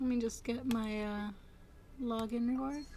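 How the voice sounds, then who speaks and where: Soft-spoken and at a very slow pace, a woman with a fairly high voice talks over music in the background. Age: 20s. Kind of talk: casual gameplay commentary.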